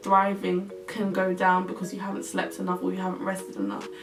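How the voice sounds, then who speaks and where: A woman talks at a fairly quick pace. Music plays in the background, and room echo is audible. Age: 20s. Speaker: lifestyle vlogger. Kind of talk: casual vlog tips. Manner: casual, filler-heavy.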